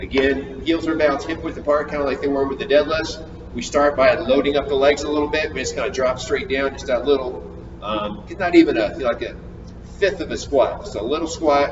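Noticeable noise sits in the background. Over it, a man talks fairly quickly. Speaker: fitness coach. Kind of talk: tutorial. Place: gym.

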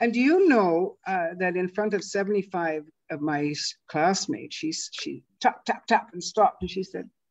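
A woman speaks at a moderate pace with a fairly low pitch. Her intonation is lively.

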